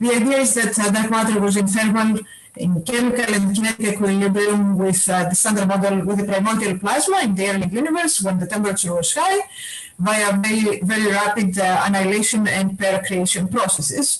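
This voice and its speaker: Over noticeable background noise, a woman talks at a fairly quick pace and a medium pitch, with ordinary pitch variation and very even loudness. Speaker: physicist. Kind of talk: lecture. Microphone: echo.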